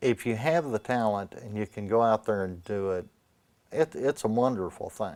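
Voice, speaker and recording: In a very clean recording with a silent background and a dry, close sound with no echo, a man talks at a moderate pace in a normal speaking voice. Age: 60s. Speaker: artist. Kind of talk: interview.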